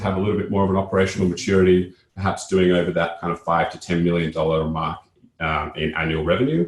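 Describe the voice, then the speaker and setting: Somewhat breathy, a man talks very fast in a very deep, low pitch. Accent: Australian. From Australia. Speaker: company co-founder and CEO. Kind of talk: webinar presentation.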